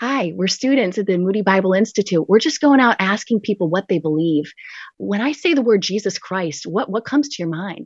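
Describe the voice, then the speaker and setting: A woman with an American accent has a plain, everyday voice at medium pitch. She talks at a fairly quick pace with lively intonation. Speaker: missionary. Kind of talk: testimony.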